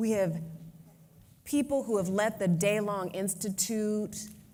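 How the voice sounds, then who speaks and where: A woman speaks at a fairly slow pace with fairly even intonation. Room echo is audible. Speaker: advocacy organization president. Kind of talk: conference speech.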